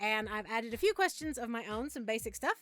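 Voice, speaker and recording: Speaking at a fairly quick pace, a woman with an American accent lets her pitch swing very widely. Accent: slight Southern Appalachian, comes and goes. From US South, Southern Appalachia. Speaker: YouTuber, writer and narrator. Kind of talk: Q and A video.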